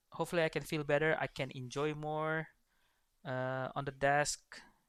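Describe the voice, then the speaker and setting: A man with an Indonesian accent. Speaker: esports coach and caster. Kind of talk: livestream casual chat. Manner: halting.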